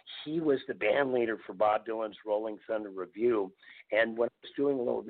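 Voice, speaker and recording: Medium-pitched male voice in a Minnesota accent, with fairly even intonation. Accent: Upper Midwest American (Minnesota). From northeastern Minnesota (Virginia, MN). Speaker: folk musician. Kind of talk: casual interview chat.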